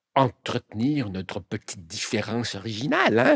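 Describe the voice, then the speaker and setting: With a Spanish accent, a man speaks at a medium pitch and a fairly slow pace. The sound is dry and close with no echo, and his pitch variation is ordinary. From Quebec (arrived age nine). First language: Spanish (speaking French). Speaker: columnist and novelist, former politician. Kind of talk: interview. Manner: hesitant, many fillers.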